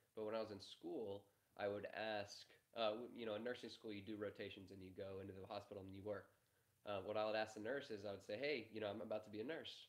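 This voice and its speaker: A man talks at a very fast pace. His voice is fairly low and fairly even in intonation. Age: 20s. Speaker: media entrepreneur, content producer. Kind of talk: live-stream interview.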